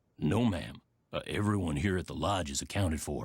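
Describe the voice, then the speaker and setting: In a put-on character voice, a man goes very deep and low in pitch, raspy and at a fairly quick pace, on a very clean recording with a silent background. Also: ordinary pitch variation. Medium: video game. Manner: folksy, plainspoken.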